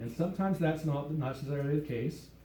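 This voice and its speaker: A man with an American accent talks at a fairly quick pace in a fairly high, somewhat breathy voice with a dark, mellow tone. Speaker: pastor. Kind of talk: live church sermon. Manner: conversational, teaching.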